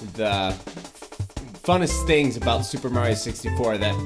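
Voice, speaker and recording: Clear music sounds in the background as a man speaks with ordinary pitch variation. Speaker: gaming video host. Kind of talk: casual let's play intro chat.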